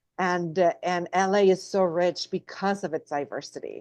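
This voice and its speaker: A woman with a Spanish accent, fairly low in pitch, in a dry, close sound with no echo against a quiet background. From Mexico, Guadalajara. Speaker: actress. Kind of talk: interview.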